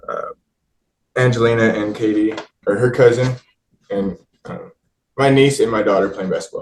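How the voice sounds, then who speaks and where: A man with an American accent speaks at a medium pitch and a moderate pace, somewhat breathy. His loudness swings widely, his pitch varies in an ordinary way, and he leaves long, frequent pauses. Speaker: father in custody case. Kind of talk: witness testimony. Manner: soft-spoken.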